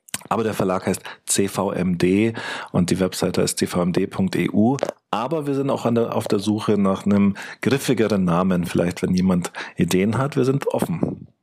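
Speaking at a fairly slow pace, a man uses a fairly low voice with ordinary pitch variation and very even loudness. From Munich, Germany. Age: 40s. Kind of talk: interview. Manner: halting, many fillers.

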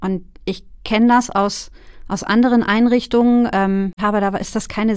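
This woman has a plain, everyday voice. Her intonation stays fairly even at a medium pitch. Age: 40s. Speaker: care worker and case manager. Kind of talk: casual chat.

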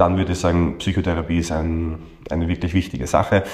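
A man talks in a Viennese accent. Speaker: coach trainer and psychotherapist. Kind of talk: interview.

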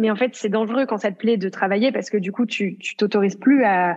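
Moving at a fairly quick pace, a woman uses a plain, everyday voice with fairly high pitch and ordinary pitch variation. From rural France. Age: 20s. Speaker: yoga entrepreneur, online yoga platform founder. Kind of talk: casual interview.

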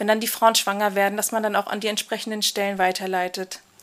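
A woman with a fairly high pitch talks at a fairly quick pace in a monotone, flat intonation, with noticeable background noise. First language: Kurdish (Kurmanji) (speaking German). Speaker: migration counselor. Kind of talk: casual interview.

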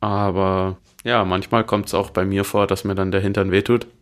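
Recorded very cleanly against a silent background, a man talks at a fairly quick pace and fairly low pitch. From Bavaria, Munich. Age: 20s. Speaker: professional road cyclist. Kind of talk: interview. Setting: studio.

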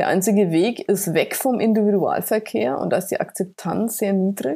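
A woman's dark, mellow, medium-pitched voice at a moderate pace, with ordinary pitch variation. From Franconia, Bamberg. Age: 50s. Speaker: sustainability consultant. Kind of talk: podcast interview.

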